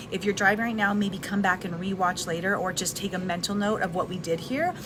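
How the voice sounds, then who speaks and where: Amid noticeable background noise, a woman speaks fairly quickly at a medium pitch. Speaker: live video host, wellness and personal development content creator. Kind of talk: casual live talk to camera. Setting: recorded in a restaurant with background noise. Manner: soft-spoken, conversational.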